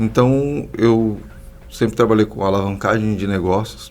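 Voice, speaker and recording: Speaking in an unremarkable speaking voice, a man with a fairly low pitch keeps a moderate pace and ordinary pitch variation. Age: 30s. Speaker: social entrepreneur, institute founder. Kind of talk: podcast interview.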